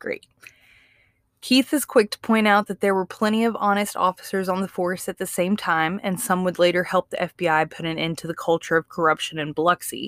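A woman with a Southern US accent speaks at a fairly quick pace and medium pitch with ordinary pitch variation, in a dry, close sound with no echo on a very clean recording over a silent background. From Mississippi. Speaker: true crime podcast co-host. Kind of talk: true crime storytelling.

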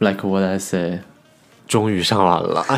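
A man speaks with fairly low pitch. Music plays in the background. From China. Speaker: university student. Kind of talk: casual chat.

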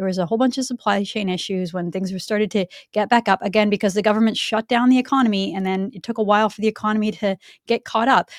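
A woman with a Canadian accent talks at a very fast pace with fairly even intonation. The very clean recording has a silent background and a dry, close sound with no echo. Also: medium pitch for a woman. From Canada, Vancouver. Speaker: political commentary show co-host. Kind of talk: casual political chat.

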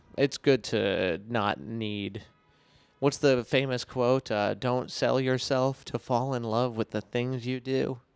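A man speaks at a very slow pace in a medium pitch with fairly even intonation, his voice dry and close with no echo while music plays in the background. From Rhode Island, rural small town. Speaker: comedian. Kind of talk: casual chat.

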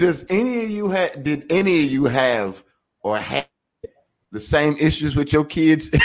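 The speaker is a man with a fairly high voice. He talks at a moderate pace. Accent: Southern US. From rural US South. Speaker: podcast co-host. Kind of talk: casual chat.

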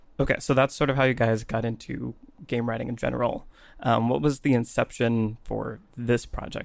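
With fairly even intonation and a medium pitch, a man talks at a moderate pace in an ordinary speaking voice. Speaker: podcast host. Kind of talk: casual interview conversation.

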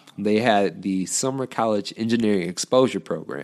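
In an American accent, a man talks at a moderate pace with fairly low pitch and an unremarkable speaking voice on a very clean recording with a silent background. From Detroit area, Michigan. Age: 20s. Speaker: author and engineering PhD student. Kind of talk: interview conversation.

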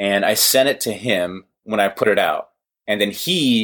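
This man speaks with an American accent. The recording is very clean, with a silent background. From Los Angeles, US. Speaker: comedy web video creator and podcaster. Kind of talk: casual interview chat.

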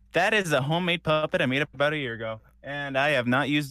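A bright, sharp voice races at a very fast pace with ordinary pitch variation on a very clean recording with a silent background and a dry, close sound with no echo. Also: man. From Puerto Rico. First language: Spanish. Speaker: voice actor. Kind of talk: interview conversation. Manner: laughs often, casual.

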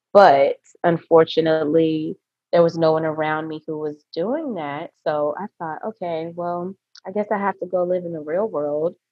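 A woman speaks at a moderate pace in a normal speaking voice, her pitch fairly low. Her intonation stays fairly even while her loudness swings a lot. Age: 30s. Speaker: esthetician and nurse. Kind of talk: casual interview.

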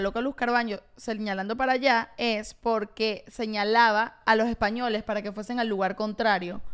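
In a Venezuelan accent, the voice moves at a moderate pace with monotone, flat intonation on a very clean recording with a silent background. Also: woman. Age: 20s. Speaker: podcast co-host. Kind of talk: casual chat; reading aloud.

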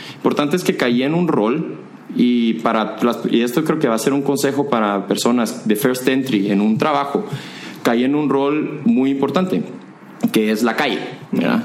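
Noticeable background noise and audible room echo surround a man's voice. He speaks at a medium pitch and a moderate pace, with very even loudness. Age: 20s. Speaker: corporate manager and entrepreneur. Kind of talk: casual interview.

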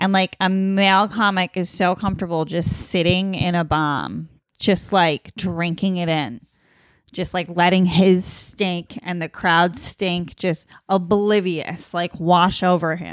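A woman with an ordinary speaking voice talks at a fairly slow pace, in a fairly low pitch with fairly even intonation. The recording is very clean and the background silent. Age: 20s. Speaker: podcast co-host, comedian. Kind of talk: casual chat.

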